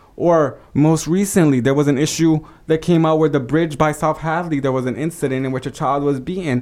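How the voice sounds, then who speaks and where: A man with an American accent, an unremarkable speaking voice, a fairly high pitch, ordinary pitch variation, and a fairly quick pace. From Holyoke, Massachusetts. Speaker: city council candidate. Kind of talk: interview.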